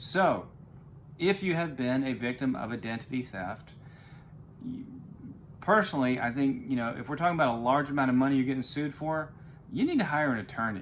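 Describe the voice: A man speaks at a fairly quick pace with medium pitch and lively intonation, broken by long, frequent pauses.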